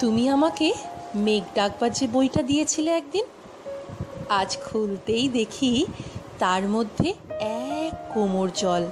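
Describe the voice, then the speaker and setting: Music plays in the background as a woman speaks in a fairly high pitch with lively intonation and very even loudness. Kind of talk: poetry reading.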